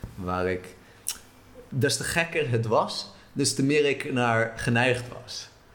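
A man speaks at a medium pitch and a very slow pace. He leaves long, frequent pauses. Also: ordinary pitch variation. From Israel, moved to the Netherlands at eight. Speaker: traveller. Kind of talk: interview.

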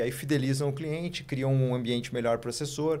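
Very fast and fairly high-pitched, a man speaks in a monotone, flat intonation. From Rio Grande do Sul, Santa Maria. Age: 30s. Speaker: investment firm co-founder. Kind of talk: interview.

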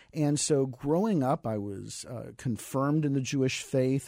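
On a very clean recording with a silent background, a man with an American accent has a dark, mellow tone at medium pitch. He talks at a moderate pace with ordinary pitch variation. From US South, San Antonio, Texas. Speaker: missionary. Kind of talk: radio interview. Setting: radio studio.

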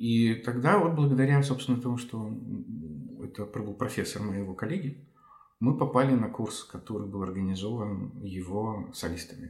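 Delivery comes at a moderate pace with ordinary pitch variation. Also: man, medium pitch for a man. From Ukraine. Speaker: violinist and conductor. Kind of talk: interview discussion of music. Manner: hesitant, filler words.

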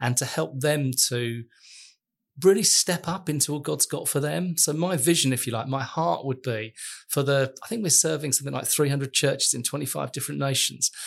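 A man talks at a fairly quick pace with a fairly high pitch. His voice is somewhat breathy, and his pitch varies in an ordinary way. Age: 50s. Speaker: church network leader. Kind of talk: casual chat.

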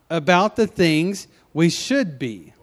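A man's high-pitched voice in a Southern US accent, very slow, with very wide pitch swings. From US South, Memphis, Tennessee. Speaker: pastor. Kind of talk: sermon. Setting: church. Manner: halting.

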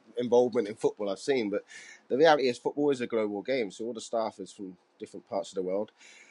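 A man with a Cardiff accent talks at a very fast pace in a medium pitch. The sound is dry and close, with no echo. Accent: Welsh (Cardiff). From Wales, Cardiff. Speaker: football coach and author. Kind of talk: casual interview.

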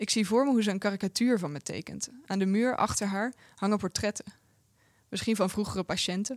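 In a very clean recording with a silent background, a woman with a Dutch accent talks at a very fast pace, at medium pitch with ordinary pitch variation, in a dry, close sound with no echo. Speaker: translator reading Dutch translation. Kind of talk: reading aloud.

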